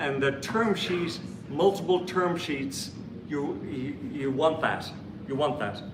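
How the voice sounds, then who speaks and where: Amid noticeable background noise and audible room echo, a man with an Irish accent speaks very slowly in a fairly high pitch with lively intonation. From Ireland. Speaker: startup investor, panelist. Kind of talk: panel discussion.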